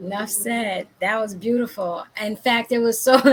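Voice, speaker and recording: Here a woman with a fairly high pitch and a plain, everyday voice speaks at a fairly slow pace. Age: 50s. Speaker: talk show host, life coach. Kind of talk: casual interview.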